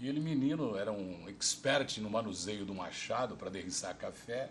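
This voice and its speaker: A normal speaking voice from a man, fairly low in pitch, with lively intonation at a moderate pace. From interior of São Paulo state, Brazil (Ribeirão Preto). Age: 60s. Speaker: oral history interviewee. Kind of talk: oral history interview.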